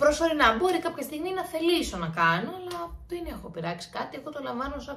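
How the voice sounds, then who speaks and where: A woman speaks high for a woman, with very wide pitch swings and a fairly quick pace. She hardly pauses at all, and noticeable background noise runs under her voice. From Greece, Santorini. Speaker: YouTuber. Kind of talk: Q&A vlog, casual chat. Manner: chatty, informal.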